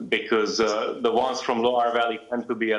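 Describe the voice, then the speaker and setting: A man's medium-pitched voice with a Hungarian accent. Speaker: wine expert. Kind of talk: wine tasting talk. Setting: live video link. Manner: hesitant, many fillers.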